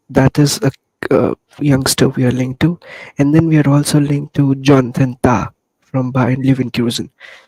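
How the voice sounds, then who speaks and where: A soft-spoken man with a medium pitch and a dark, mellow tone speaks in a monotone, flat intonation at a moderate pace, the sound dry and close with no echo. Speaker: football fan podcaster. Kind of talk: casual chat. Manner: soft-spoken, lowered voice.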